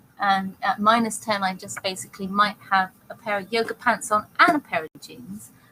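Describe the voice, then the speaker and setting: Speaking with a British accent, a woman uses ordinary pitch variation. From Britain. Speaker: talk show co-host. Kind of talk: casual chat. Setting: live online talk show.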